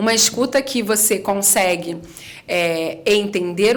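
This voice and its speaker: Her speech moves at a very slow pace. This woman is heard with audible room echo and noticeable background noise. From Rio de Janeiro, Brazil. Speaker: communication and public speaking specialist. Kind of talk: podcast interview.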